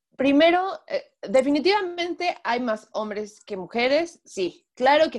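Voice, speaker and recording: A woman with a high pitch speaks at a fairly slow pace. Her voice swings very widely in pitch. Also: big swings in loudness. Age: 20s. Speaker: race track marshal and illustrator. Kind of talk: interview. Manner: halting, many fillers.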